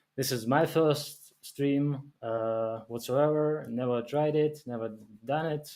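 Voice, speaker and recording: At a very slow pace, a man talks in a medium pitch with a dark, mellow tone and fairly even intonation. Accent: non-native. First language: not English. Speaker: game developer. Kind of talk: live stream. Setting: live stream. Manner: halting, many fillers.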